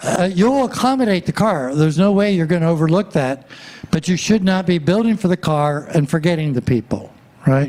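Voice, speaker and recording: Over noticeable background noise, a man with a high pitch talks at a fairly quick pace with lively intonation and very even loudness. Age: 80s+. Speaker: walkability planning consultant. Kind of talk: public presentation. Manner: hesitant with frequent fillers.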